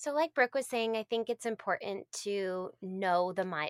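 A woman with an American accent, a plain, everyday voice, speaks at a medium pitch and moderate pace with ordinary pitch variation, in a very clean recording with a silent background that sounds dry and close with no echo. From Massachusetts. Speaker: speech-language pathologist. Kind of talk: casual interview chat.

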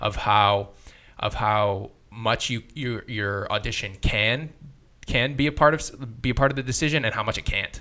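Bright and sharp in tone, a man speaks at medium pitch with ordinary variation. The recording is very clean, the background silent. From Vancouver area, Canada. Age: 20s. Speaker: actor. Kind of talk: casual interview chat.

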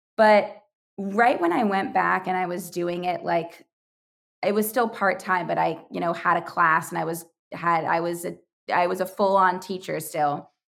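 A woman speaks at a moderate pace with fairly low pitch, fairly even intonation and vocal fry, recorded very cleanly against a silent background. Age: 20s. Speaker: youtuber and podcaster, former preschool teacher. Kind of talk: casual chat.

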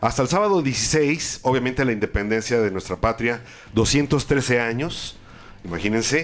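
A man with a Mexican accent. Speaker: radio co-host and producer. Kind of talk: live radio chat.

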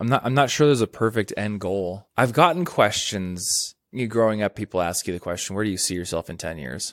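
A man with a plain, everyday voice and a fairly low pitch speaks at a moderate pace with lively intonation. The sound is dry and close with no echo, on a very clean recording with a silent background. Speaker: YouTuber and author. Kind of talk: casual interview conversation. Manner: casual, conversational, laughs often.

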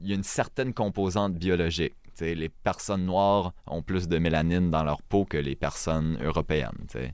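With a very deep, low pitch and ordinary pitch variation, a man talks at a fairly slow pace in a very clean recording with a silent background. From Acadia, northern New Brunswick. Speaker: podcast guest. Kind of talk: casual interview chat. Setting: small podcast studio.

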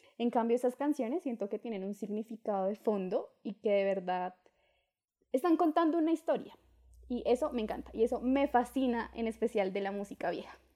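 Over a very clean recording with a silent background, a woman with a dark, mellow tone and fairly high pitch talks at a fairly quick pace with lively intonation. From Colombia, Duitama, Boyacá. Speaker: podcast co-host. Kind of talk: casual chat.

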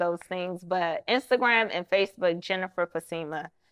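Medium in pitch, a woman with an American accent talks at a moderate pace in an ordinary speaking voice. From Maryland, Prince George's County. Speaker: film and TV producer. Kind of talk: casual interview.

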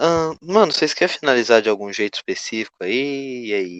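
A man with lively intonation. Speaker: podcast host. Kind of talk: casual chat.

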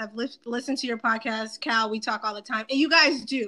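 A woman talks in a raised, projected voice. She has an American accent. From Boston, US East Coast. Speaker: podcast host. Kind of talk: casual chat.

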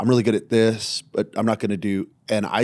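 In an ordinary speaking voice, a man with an American accent talks at a fairly slow pace with a fairly low pitch and fairly even intonation, in a dry, close sound with no echo on a very clean recording with a silent background. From US Southwest, small-town New Mexico. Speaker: pastor. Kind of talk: casual chat.

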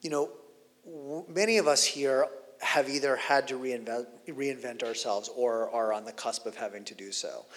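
A man with an unremarkable speaking voice talks at a moderate pace, at medium pitch with ordinary pitch variation and big swings in loudness. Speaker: interviewer and conference host. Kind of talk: onstage interview conversation. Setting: conference stage with audience.

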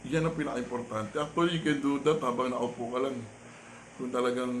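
Through noticeable background noise, a man talks at a medium pitch. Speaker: vlogger and life-coach style host. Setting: home vlog recording.

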